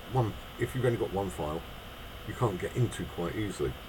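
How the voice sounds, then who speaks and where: A man with a British accent and lively intonation, noticeable background noise behind him. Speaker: miniature figure painter. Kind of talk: tutorial.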